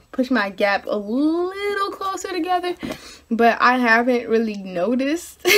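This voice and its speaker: A woman speaks with very wide pitch swings. Noticeable background noise is present. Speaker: video blogger. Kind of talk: casual vlog update. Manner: hesitant, many fillers.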